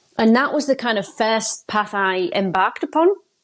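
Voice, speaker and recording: In a northeast English accent, a woman speaks at a moderate pace. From northeast England. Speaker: success coach. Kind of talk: podcast interview. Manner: casual, hesitant.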